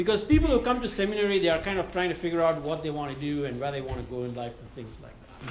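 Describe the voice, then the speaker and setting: A man speaks at a high pitch with lively intonation. Noticeable background noise and audible room echo surround him. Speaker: retreat speaker on church leadership. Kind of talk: workshop talk.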